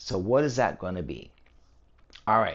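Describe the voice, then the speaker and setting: This man has a normal speaking voice, fairly low in pitch. He talks at a fairly quick pace with lively intonation. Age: 60s. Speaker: personal trainer, fitness channel host. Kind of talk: talking-head fitness explainer. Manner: casual, conversational with fillers.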